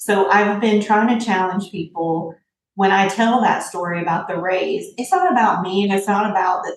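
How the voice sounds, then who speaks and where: Speaking with a Southern US accent, a woman has a medium pitch. Her pace is fairly quick, with fairly even intonation. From Tennessee, US South (from Indianapolis until high school). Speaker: tech entrepreneur. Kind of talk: interview conversation.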